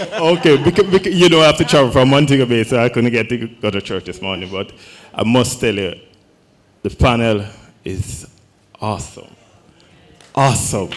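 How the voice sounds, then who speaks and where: A man with a Jamaican accent speaks at a medium pitch with very wide pitch swings. His pace is moderate, broken by long, frequent pauses. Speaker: fashion business owner. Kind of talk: audience comment at panel.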